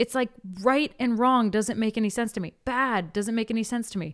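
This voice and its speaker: On a very clean recording with a silent background, a woman speaks with a fairly high pitch, an animated tone and lively intonation at a moderate pace. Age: 30s. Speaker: podcast host and life coach. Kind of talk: solo podcast monologue.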